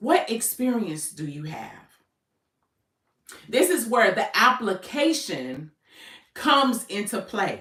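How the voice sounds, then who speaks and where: A woman speaks at a fairly high pitch with a bright, sharp tone and some vocal fry. Her delivery is very slow, with very wide pitch swings and long, frequent pauses. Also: big swings in loudness. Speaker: business coach. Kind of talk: livestream talk. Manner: casual, conversational.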